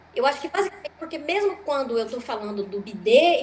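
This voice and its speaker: Against noticeable background noise, a woman with a high pitch and very wide pitch swings speaks at a moderate pace. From Brazil. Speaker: stand-up comedian. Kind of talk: interview.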